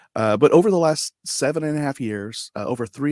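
A man talks with an unremarkable speaking voice, keeping a moderate pace and ordinary pitch variation, captured on a very clean recording where the background is silent. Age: 40s. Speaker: podcaster and author, army veteran. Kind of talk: casual interview.

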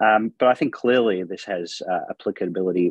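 Here a man speaks with an Australian accent. His pace is fairly quick. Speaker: rheumatologist. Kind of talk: panel discussion.

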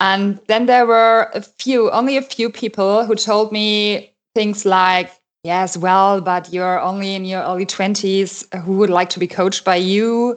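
Fairly slow, fairly even-toned delivery from a woman at a medium pitch, against a quiet background. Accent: German. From Germany. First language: German. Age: 30s. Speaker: life coach. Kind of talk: casual interview. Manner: hesitant, many fillers.

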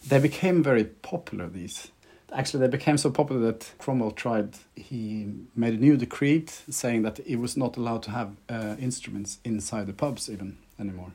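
A man's dark, mellow tone with ordinary pitch variation and a Norwegian accent. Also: medium pitch for a man, moderate pace. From Norway. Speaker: violinist. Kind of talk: interview.

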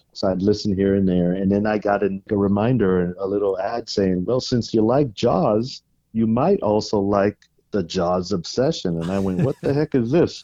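Against a quiet background, a man with an American accent speaks at a fairly low pitch and a moderate pace, his dark, mellow tone showing ordinary pitch variation. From San Francisco Bay Area, California. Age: 50s. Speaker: fan of the film. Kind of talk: interview. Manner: halting, repeats words.

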